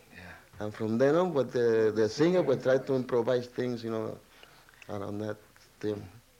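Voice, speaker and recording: Speaking with a Spanish accent, a man has a dark, mellow tone. He talks at a moderate pace. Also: medium pitch for a man, ordinary pitch variation. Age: 60s. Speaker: trumpet player. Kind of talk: interview.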